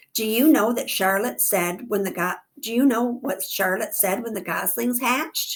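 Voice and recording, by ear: Someone reads aloud in a natural voice. Their pitch shifts by an ordinary amount.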